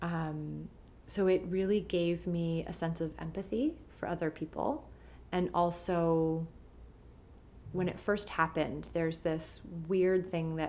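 A woman with a Canadian accent has a plain, everyday voice, fairly low in pitch, with fairly even intonation. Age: 30s. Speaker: journalist and green beauty expert. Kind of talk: casual interview chat.

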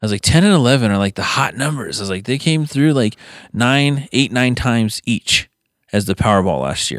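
In a very clean recording with a silent background, a man with a normal speaking voice at medium pitch talks at a fairly quick pace with lively intonation. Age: 30s. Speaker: podcast co-host. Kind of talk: casual chat. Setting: home basement studio.

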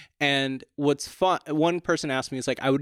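This man's voice sits at a medium pitch and moves at a fairly quick pace. The sound is dry and close with no echo, in a very clean recording with a silent background. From Portland, Maine, US. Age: 20s. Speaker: stand-up comedian. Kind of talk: casual chat. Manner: animated.

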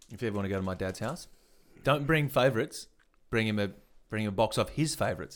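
A man with an Australian accent talks at a very fast pace with long, frequent pauses on a very clean recording with a silent background. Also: medium pitch for a man, lively intonation. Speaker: comedy podcast co-host. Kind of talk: casual chat.

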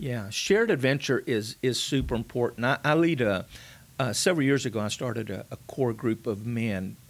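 The speaker talks at a moderate pace in a Texan accent, with ordinary pitch variation. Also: man. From South Texas. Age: 60s. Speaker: pastor. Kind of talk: casual chat.

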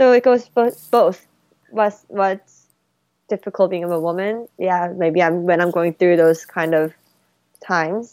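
Speaking with a Korean accent at a fairly slow pace, the voice shows ordinary pitch variation and long, frequent pauses over a very clean recording with a silent background. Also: woman, medium pitch for a woman. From South Korea, then Colorado from age 14. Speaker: jazz pianist and music student. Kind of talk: casual interview chat. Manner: halting.

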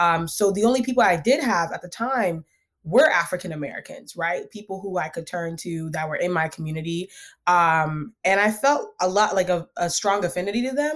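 On a very clean recording with a silent background, a woman speaks with lively intonation at a medium pitch and a moderate pace. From US, Ghanaian immigrant family. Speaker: nonprofit co-founder and economics researcher. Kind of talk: interview conversation. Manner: authoritative.

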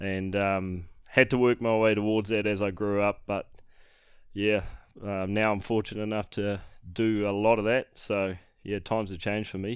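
Speech comes at a moderate pace, monotone and flat in intonation. The recording is very clean, with a silent background. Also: man, fairly low pitch for a man. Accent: New Zealand. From New Zealand, Northland (Whangarei). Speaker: hunting guide and videographer. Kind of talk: casual chat.

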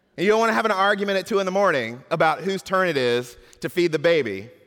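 An American man with a normal speaking voice talks at a fairly quick pace with lively intonation, in an American accent. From US South. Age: 40s. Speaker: pastor. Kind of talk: sermon.

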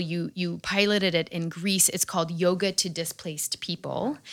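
Speaking with an American accent, a woman with a plain, everyday voice and fairly low pitch keeps a moderate pace and fairly even intonation. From New York area, US. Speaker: podcast host. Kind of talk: scripted narration; interview conversation.

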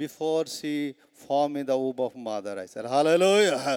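Speaking with an Indian accent, a man keeps a fairly slow pace. He has a fairly high pitch and ordinary pitch variation. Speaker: preacher. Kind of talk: sermon. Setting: stage with audience. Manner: animated; frequent laughter.

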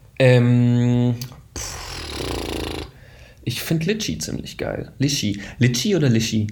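In a room with audible echo, a man at a medium pitch speaks at a very slow pace with long, frequent pauses and ordinary pitch variation. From Baden-Württemberg, Germany, partly Israel. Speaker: film company founder. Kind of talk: interview.

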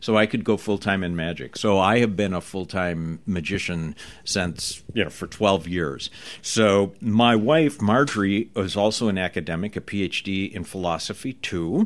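A man's fairly low voice at a moderate pace, with ordinary pitch variation, on a very clean recording with a silent background. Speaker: magic school dean and magician. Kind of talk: interview. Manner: measured pacing.

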